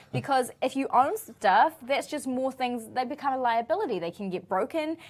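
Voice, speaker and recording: A woman's high-pitched voice with a New Zealand accent and lively intonation. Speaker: show co-host. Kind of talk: casual chat. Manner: fast.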